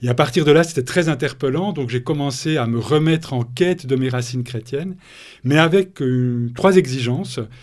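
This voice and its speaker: On a very clean recording with a silent background, a man with a normal speaking voice talks at medium pitch and a moderate pace, his pitch variation ordinary. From Switzerland, Bernese Jura. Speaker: author and thinker on ecospirituality. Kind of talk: interview.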